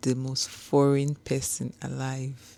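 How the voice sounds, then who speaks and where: A woman with a Nigerian accent, a very deep, low pitch and a dark, mellow tone. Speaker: homecare business owner. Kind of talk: casual talk to camera. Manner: slow.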